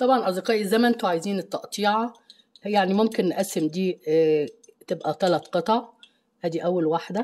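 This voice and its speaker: A woman with an Egyptian accent at a moderate pace, with long, frequent pauses. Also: medium pitch for a woman, ordinary pitch variation. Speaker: cooking channel host. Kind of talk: cooking tutorial.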